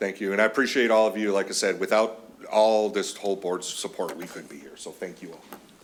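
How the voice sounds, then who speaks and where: Over noticeable background noise, a man speaks at a very fast pace, his loudness swinging widely. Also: fairly low pitch for a man, fairly even intonation. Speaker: county veterans services officer. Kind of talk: public meeting presentation. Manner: passionate.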